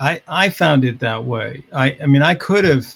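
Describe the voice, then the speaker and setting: A man with an American accent, at a medium pitch and somewhat breathy. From US Midwest, Chicago suburbs. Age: 70s. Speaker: behavioral scientist and author. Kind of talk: podcast interview.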